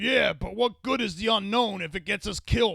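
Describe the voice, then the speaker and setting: A man projects a raspy, put-on character voice, pitched high and raised, at a moderate pace. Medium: audio drama. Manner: folksy, gruff.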